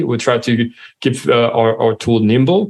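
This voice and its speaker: Speaking fairly slowly with a French accent, a man uses medium pitch and ordinary pitch variation. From France. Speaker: software company co-founder and CEO. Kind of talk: interview.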